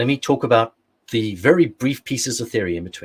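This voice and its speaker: With an English accent, a man speaks at a medium pitch and moderate pace with lively intonation. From England. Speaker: security expert, workshop presenter; presenter. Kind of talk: technical workshop lecture; lecture. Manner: frequent fillers (uh, um). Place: home room.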